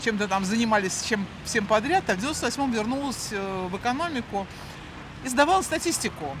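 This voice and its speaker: Noticeable background noise sits behind a woman whose voice is fairly high. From Moscow, Russia. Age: 60s. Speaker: chief accountant, street interviewee. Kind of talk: street interview.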